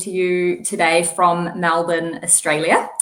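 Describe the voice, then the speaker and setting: With audible room echo, a woman with a strong New Zealand accent speaks at a fairly low pitch and a moderate pace. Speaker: physical therapist. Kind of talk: interview.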